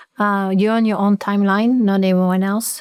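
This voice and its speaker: Recorded very cleanly against a silent background, a woman speaks at medium pitch with monotone, flat intonation in a dry, close sound with no echo. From France. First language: French. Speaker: gymnastics coach. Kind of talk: podcast interview.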